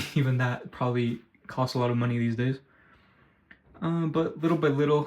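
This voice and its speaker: Here a man talks at a medium pitch. His intonation is fairly even. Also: fairly quick pace. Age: 20s. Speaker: vlogger. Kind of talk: casual vlog monologue. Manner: soft-spoken; halting.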